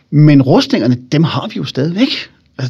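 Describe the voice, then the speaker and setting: With lively intonation and a somewhat breathy quality, a man talks in a fairly high register. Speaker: historian and public speaker. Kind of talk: interview about his book. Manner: animated, engaging storyteller.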